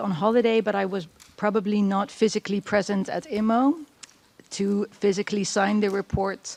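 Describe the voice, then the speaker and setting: A woman speaks with a Dutch accent. Her pace is moderate, and there is noticeable background noise. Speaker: expert witness, clinician. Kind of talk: witness testimony. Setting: courtroom. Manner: hesitant.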